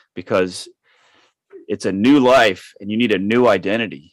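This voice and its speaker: With fairly low pitch and ordinary pitch variation, a man has an unremarkable speaking voice at a moderate pace on a very clean recording with a silent background. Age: 50s. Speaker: author and solo sailor. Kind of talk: interview conversation.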